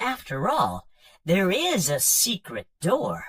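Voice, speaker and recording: He speaks very slowly in a put-on character voice. This man's pitch sits high. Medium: read story. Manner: hesitant, polite, fumbling.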